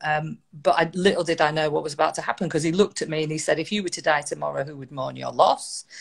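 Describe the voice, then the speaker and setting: In a northern English accent, the words come at a very fast pace. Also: woman. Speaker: motivational speaker. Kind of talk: interview storytelling. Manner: conversational, hesitant fillers.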